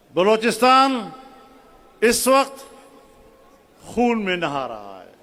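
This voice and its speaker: Against noticeable background noise and audible room echo, a man speaks at a high pitch with lively intonation. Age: 70s. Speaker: religious political speaker. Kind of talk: sermon-style political address.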